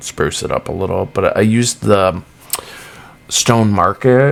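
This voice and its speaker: With a Massachusetts accent, a man talks in a fairly low voice. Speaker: gaming YouTuber. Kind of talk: casual gameplay commentary. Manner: casual, lots of fillers.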